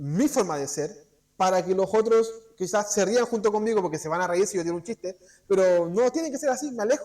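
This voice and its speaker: High-pitched and lively in intonation, a man talks. His pace is fairly quick. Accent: Chilean. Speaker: preacher. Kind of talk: sermon. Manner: fast; halting.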